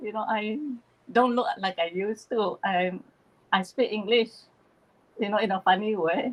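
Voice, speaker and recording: Speaking in a strong Malaysian accent, a woman keeps to a medium pitch. Her pace is fairly slow and her pitch varies in an ordinary way. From East Malaysia (Borneo), Chinese Malaysian. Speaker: spiritual channeler, YouTuber. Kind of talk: casual chat on a livestream.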